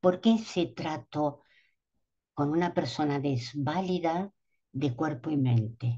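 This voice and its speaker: A woman speaks at a very slow pace with a very deep, low pitch. Her tone is dark, mellow and somewhat breathy, with lively intonation. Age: 70s. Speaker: doula and speaker at a symposium. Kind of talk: conference talk. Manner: hesitant, with fillers.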